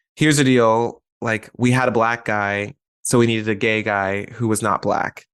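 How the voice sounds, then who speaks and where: Against a quiet background, a man with an American accent talks in an unremarkable speaking voice at medium pitch and a moderate pace, his intonation fairly even. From US South, Atlanta. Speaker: actor. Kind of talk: casual chat.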